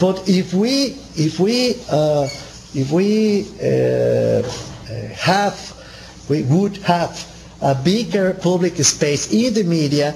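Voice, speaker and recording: High-pitched male speech with a Spanish accent and lively intonation, very slow with long, frequent pauses, amid noticeable background noise and audible room echo. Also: very even loudness. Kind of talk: seminar lecture. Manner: halting, frequent repetitions and fillers.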